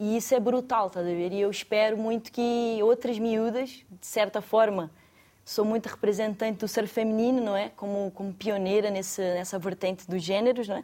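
A woman's fairly high voice, dark and mellow in tone, with fairly even intonation at a moderate pace. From Brazil, Rio de Janeiro state. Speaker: professional surfer. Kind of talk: studio discussion.

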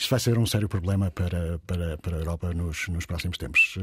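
A man speaks at a fairly quick pace with ordinary pitch variation and a somewhat breathy voice. The sound is dry and close with no echo, on a very clean recording with a silent background. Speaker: radio news host. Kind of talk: radio news discussion. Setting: radio studio.

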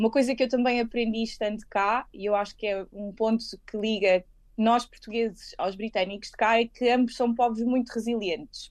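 With fairly high pitch and fairly even intonation, a woman speaks at a moderate pace. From Lisbon, Portugal. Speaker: lawyer. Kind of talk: interview. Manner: hesitant, with fillers and repetitions.

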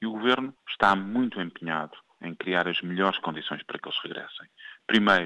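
A man at a moderate pace. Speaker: government official. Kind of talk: press statement. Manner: formal.

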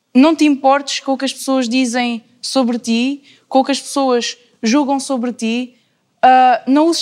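A woman with a high pitch keeps her intonation fairly even. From Alentejo, Portugal (Cuba, near Beja). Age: young (19). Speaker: university student. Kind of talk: casual panel discussion.

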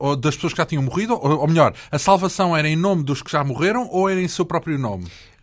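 A man's voice sits high in pitch and varies it in an ordinary way, captured on a very clean recording against a silent background. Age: 40s. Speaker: radio host. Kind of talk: interview.

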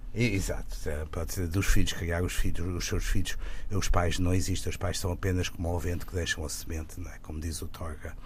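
A man talks at a fairly quick pace. Room echo can be heard. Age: 70s. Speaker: film director. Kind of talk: interview. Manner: halting.

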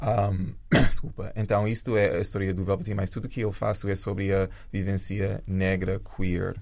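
Speaking at a fairly slow pace with hardly any pauses, a man uses a fairly low pitch and monotone, flat intonation. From rural Jamaica. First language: English (speaking Portuguese). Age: 30s. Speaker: dancer and choreographer. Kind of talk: interview.

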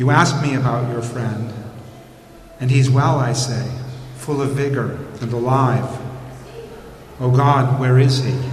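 A man's medium-pitched, monotone, flat delivery at a very slow pace with long, frequent pauses, amid audible room echo and noticeable background noise. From New England, US. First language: English (speaking Portuguese). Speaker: poet and translator. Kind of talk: reading aloud. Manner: halting.

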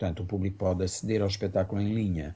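Here is a man with a very deep, low pitch and a dark, mellow tone. His voice is somewhat breathy, with fairly even intonation. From Mozambique, then Portugal from age 15. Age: 50s. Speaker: artistic director and performer. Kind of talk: radio interview.

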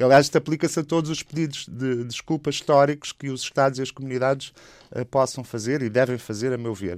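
A man at a very fast pace, in a dry, close sound with no echo, on a very clean recording with a silent background. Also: medium pitch for a man, ordinary pitch variation. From Portugal. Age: 50s. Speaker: anthropologist and activist. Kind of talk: radio interview.

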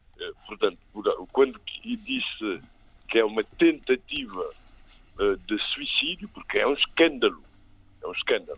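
A man's fairly slow delivery with long, frequent pauses. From Cape Verde. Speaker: political commentator. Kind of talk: radio panel debate.

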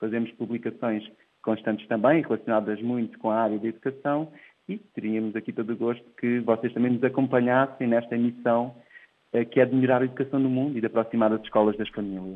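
A man's medium-pitched voice at a very fast pace. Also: fairly even intonation. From Portugal, Ribatejo. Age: 30s. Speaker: tech entrepreneur. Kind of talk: interview. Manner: hesitant, with repeated words.

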